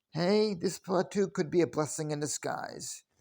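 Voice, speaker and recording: In a very clean recording with a silent background, a man with a high pitch talks at a moderate pace with ordinary pitch variation. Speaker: political vlogger. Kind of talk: opinion rant. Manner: sarcastic.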